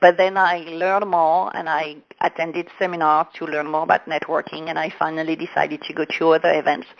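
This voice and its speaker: A woman with a French accent and a fairly low pitch talks at a fairly quick pace in a monotone, flat intonation, with hardly any pauses. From France. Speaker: business coach. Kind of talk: interview. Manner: halting.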